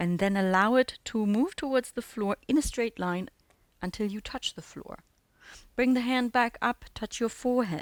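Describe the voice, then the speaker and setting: Talking at a moderate pace, a woman with an unremarkable speaking voice uses a fairly high pitch with ordinary variation. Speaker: handstand teacher. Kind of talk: audio guided exercise class instruction. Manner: calm, instructive.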